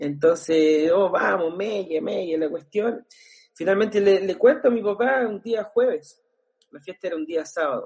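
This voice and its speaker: A man with a Chilean accent speaks at a fairly slow pace in a high pitch, with ordinary pitch variation. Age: 30s. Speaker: pastor and worship musician. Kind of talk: casual interview.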